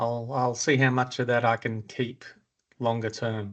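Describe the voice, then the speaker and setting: Speaking very slowly, a man uses a medium pitch with an Australian accent. His intonation is monotone and flat. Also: quiet background. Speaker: property investment podcast host. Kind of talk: casual chat. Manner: halting, many fillers.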